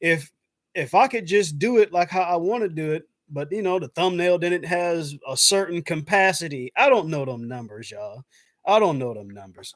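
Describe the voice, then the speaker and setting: A man with a high pitch and an American accent speaks with lively intonation and big swings in loudness. The recording is very clean, with a silent background. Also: moderate pace. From South Carolina. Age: 30s. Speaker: YouTuber. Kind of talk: live stream chat. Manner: casual, halting.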